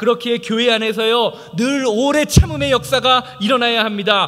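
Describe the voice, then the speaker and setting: Noticeable background noise accompanies speech delivered at a medium speed. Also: man. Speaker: pastor. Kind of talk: sermon. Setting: church. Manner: halting, stumbles over words.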